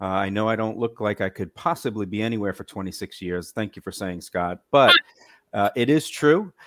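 In an American accent, an ordinary speaking voice moves at a fairly quick pace with ordinary pitch variation, dry and close with no echo on a very clean recording with a silent background. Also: man, fairly low pitch for a man. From Massachusetts. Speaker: cruise line sales manager. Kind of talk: casual interview.

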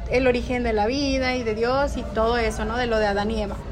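In a Mexican accent, a woman with a fairly high pitch speaks at a fairly slow pace with fairly even intonation, amid noticeable background noise and audible room echo. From Mexico. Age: 30s. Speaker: podcast host. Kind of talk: casual chat.

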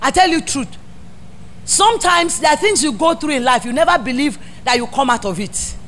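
A woman with a Nigerian accent speaks at a high pitch in an animated tone. Her pitch swings very widely over noticeable background noise. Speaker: pastor. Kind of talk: sermon. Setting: church. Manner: animated, exhorting call-and-response preaching.

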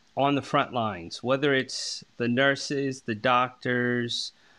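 A man with a bright, sharp tone, medium pitch and a fairly slow pace. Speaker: podcast host. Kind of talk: casual interview.

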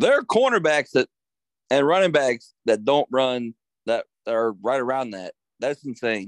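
Speaking in an American accent, a man with medium pitch and a normal speaking voice talks fairly slowly with lively intonation, the sound dry and close with no echo. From Harrisonburg, Virginia. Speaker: podcast host. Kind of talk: casual chat. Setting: studio.

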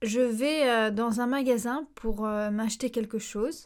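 Heard on a very clean recording with a silent background, a woman speaks at a very slow pace and a fairly high pitch. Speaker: language teacher and podcast host. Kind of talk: educational podcast monologue. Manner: hesitant, with frequent fillers.

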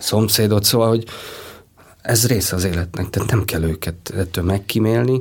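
With fairly even intonation and a somewhat breathy sound, this man speaks at a moderate pace. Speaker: animation film director. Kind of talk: interview. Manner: halting.

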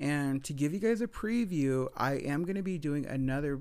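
Using a plain, everyday voice, a man speaks at a fairly slow pace with a fairly high pitch and lively intonation, recorded very cleanly against a silent background. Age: 30s. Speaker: podcaster and grad student. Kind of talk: casual solo storytelling.

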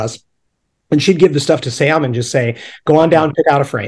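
In an American accent, a man speaks somewhat breathily, his pitch moving by ordinary amounts. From upstate New York. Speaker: punk rock artist and illustrator. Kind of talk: casual chat.

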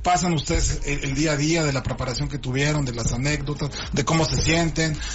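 Fairly quick speech from a man with a fairly high pitch and ordinary pitch variation, with audible room echo and noticeable background noise. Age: 30s. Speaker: radio health show host and doctor. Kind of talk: radio talk show. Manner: halting.

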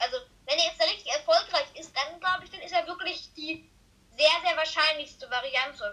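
A woman speaks in a raised, projected voice with an extremely high pitch, a bright, sharp tone and lively intonation. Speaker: football podcast co-host. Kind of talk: casual chat. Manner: halting, many fillers.

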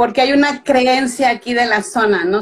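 A woman with a Mexican accent and ordinary pitch variation. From Mexico (Veracruz). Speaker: author. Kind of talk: interview. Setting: live video call.

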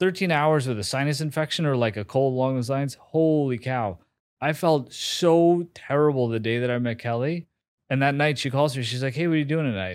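A man with an American accent speaks fairly quickly in an ordinary speaking voice, fairly high-pitched with ordinary pitch variation, on a very clean recording with a silent background. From US Northeast, New York City. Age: 40s. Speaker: marketing executive and social media creator. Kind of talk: casual interview.

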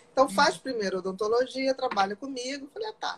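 High-pitched female voice at a very fast pace. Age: 50s. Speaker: psychiatrist. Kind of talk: casual chat.

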